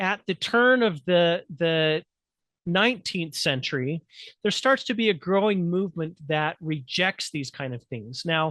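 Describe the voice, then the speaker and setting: A high-pitched man's voice with a bright, sharp tone, lively intonation and a fairly slow pace. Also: dry, close sound with no echo. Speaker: humanities instructor presenting. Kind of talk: presentation lecture.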